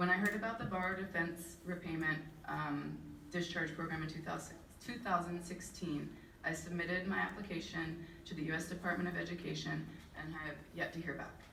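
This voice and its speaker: A woman speaks at a fairly quick pace with a fairly low pitch and fairly even intonation. There is audible room echo and noticeable background noise. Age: 30s. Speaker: student loan borrower. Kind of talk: testimony. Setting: public hearing. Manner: reading a prepared statement.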